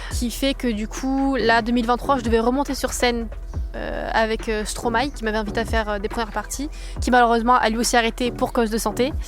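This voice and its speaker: With audible room echo and noticeable background noise, a woman talks at a fairly quick pace in a high pitch with fairly even intonation. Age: 20s. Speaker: singer. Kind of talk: testimony. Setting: outdoors in a park. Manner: fast; hesitant, many fillers.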